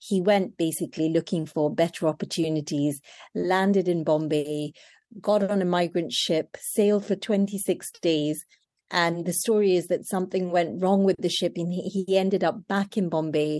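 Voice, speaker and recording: A woman's dark, mellow tone, fairly low in pitch, with fairly even intonation, very even loudness and a moderate pace against a quiet background. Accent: British. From Kenya, then London. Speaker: chef. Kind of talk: interview.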